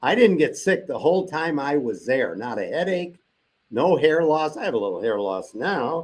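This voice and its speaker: An animated man with fairly high pitch and vocal fry speaks at a moderate pace, his pitch swinging very widely. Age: 70s. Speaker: cancer survivor. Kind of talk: testimony.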